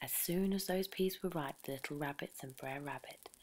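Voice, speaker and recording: Whispering, soft-spoken delivery. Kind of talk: sleep story, storytelling read aloud. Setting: over crackling campfire background sound. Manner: soft-spoken, whispery.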